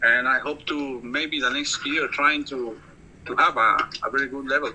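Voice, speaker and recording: With a Costa Rican accent, a man with a fairly high pitch talks at a moderate pace in a monotone, flat intonation against noticeable background noise. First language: Spanish. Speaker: English learner. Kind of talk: casual conversation practice chat. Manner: hesitant, many fillers.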